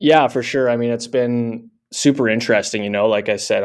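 Against a quiet background, a man with a Canadian accent talks at a moderate pace in a normal speaking voice of medium pitch. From Canada. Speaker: tech company founder and CEO. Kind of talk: interview.

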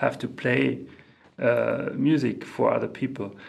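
Amid audible room echo, a man with a German accent speaks at a fairly slow pace. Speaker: composer and organist. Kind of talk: interview. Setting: music centre in Mexico. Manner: halting, many fillers and repeats.

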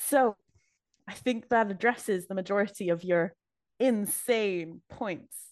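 A woman's normal speaking voice, medium in pitch with ordinary variation, at a fairly slow pace. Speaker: co-host and prosecution attorney in role-play. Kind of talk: mock trial role-play.

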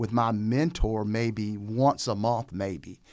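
The speaker has a Southern US accent with ordinary pitch variation. The recording is very clean, with a silent background. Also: man. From Raleigh, North Carolina. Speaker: pastor and seminary program coordinator. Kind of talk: casual interview.

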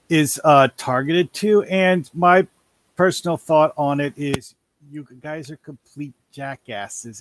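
Recorded with a dry, close sound and no echo, a man in a normal speaking voice talks at a fairly slow pace with ordinary pitch variation. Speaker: call-in participant. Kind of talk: casual chat.

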